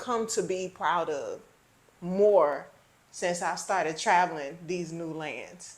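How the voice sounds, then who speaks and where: In a Southern US accent, a woman talks at a very slow pace and a fairly low pitch, with audible room echo. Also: ordinary pitch variation. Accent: Southern drawl. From Houston, Texas. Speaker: travel vlogger. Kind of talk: casual chat.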